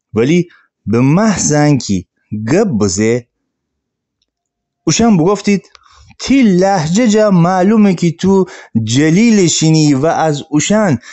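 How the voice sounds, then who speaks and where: A man with a high pitch talks at a very slow pace with long, frequent pauses, his pitch swinging very widely while his loudness stays very even. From Gilan, northern Iran. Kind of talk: sermon.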